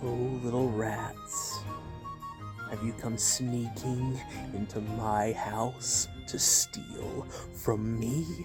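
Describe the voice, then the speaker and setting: A put-on character voice speaks very slowly at a low pitch. Loud music plays in the background. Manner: menacing, taunting.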